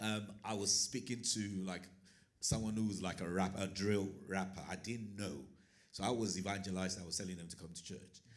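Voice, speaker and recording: In a room with audible echo, a man talks at a fairly quick pace in a monotone, flat intonation. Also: fairly low pitch for a man. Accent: Nigerian. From Nigeria. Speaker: teacher and churchgoer. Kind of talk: panel discussion.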